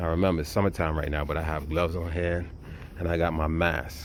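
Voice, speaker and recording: A man speaks quietly at a very fast pace. His very deep, low voice is monotone and flat. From US inner city. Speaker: survival prep vlogger. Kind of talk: casual show-and-tell tutorial. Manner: low, quiet talking; casual, halting with fillers.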